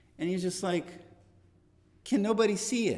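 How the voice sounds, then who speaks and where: A man's bright, sharp tone comes through with audible room echo. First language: not English. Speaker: Bible class teacher. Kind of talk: Bible class lecture. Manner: conversational, with self-corrections.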